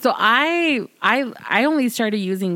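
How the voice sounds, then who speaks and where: Noticeable background noise accompanies a woman speaking in a Southern Californian accent. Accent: Valley Girl. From South Side of Chicago. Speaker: podcast co-host or guest.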